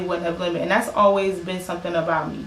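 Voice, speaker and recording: A woman speaks at a fairly low pitch in a monotone, flat intonation. The room echo is audible. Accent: American. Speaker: singer and musician. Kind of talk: casual podcast conversation.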